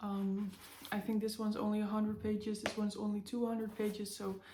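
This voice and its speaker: A woman with a non-native accent, a fairly high pitch, a somewhat breathy, dark, mellow tone and monotone, flat intonation. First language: not English. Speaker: book vlogger. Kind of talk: casual chat. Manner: halting, many fillers.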